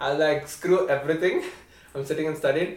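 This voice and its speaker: There is noticeable noise in the background. A man speaks in a fairly high pitch. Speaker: college student. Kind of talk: casual chat.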